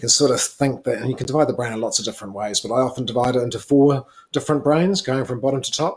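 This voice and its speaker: A man's medium-pitched voice at a very fast pace. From southern New Zealand. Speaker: parenting expert. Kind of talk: live presentation answering questions. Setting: online live stream. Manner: casual, many fillers.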